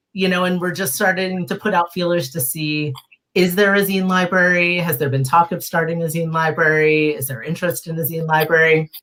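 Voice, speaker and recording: A woman's fairly low voice, a plain, everyday voice, at a fairly quick pace with fairly even intonation. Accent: American. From Philadelphia. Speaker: zine library founder. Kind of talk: casual interview chat.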